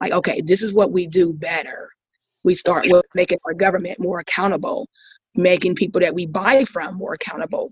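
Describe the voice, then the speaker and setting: Somewhat breathy, a woman with an American accent speaks at a fairly quick pace. Her pitch is medium, with ordinary variation. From US, military brat; Ohio and Mississippi. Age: 50s. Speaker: school staff member, podcast guest. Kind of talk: casual chat. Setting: online call.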